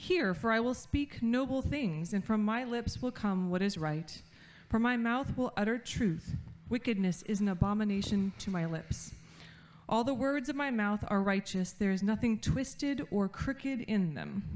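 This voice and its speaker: A woman speaks at a moderate pace with lively intonation. Hers is a normal speaking voice. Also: medium pitch for a woman. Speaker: scripture reader. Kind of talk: reading aloud.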